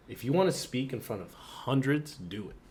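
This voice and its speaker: A man with an American accent at a fairly slow pace, with ordinary pitch variation and audible room echo. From Philadelphia, US. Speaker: podcast co-host, college student. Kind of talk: casual chat.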